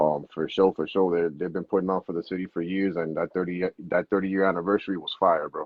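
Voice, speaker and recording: Very deep and low in pitch, a man talks at a very fast pace with hardly any pauses and a flat, monotone delivery. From Miami, Florida (Hialeah, Kendall). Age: 30s. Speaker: rapper. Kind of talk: casual interview. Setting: Instagram Live. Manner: bilingual Spanglish.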